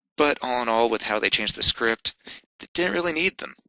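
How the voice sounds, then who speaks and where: A man talks at a very fast pace. His pitch is medium and his intonation lively. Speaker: amateur movie reviewer. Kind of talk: unscripted casual movie review.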